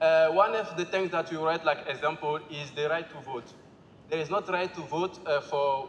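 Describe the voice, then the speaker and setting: Noticeable background noise surrounds a man speaking at a high pitch and moderate pace with ordinary pitch variation. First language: Bambara. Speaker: assembly participant presenting group work. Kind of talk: group presentation. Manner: halting.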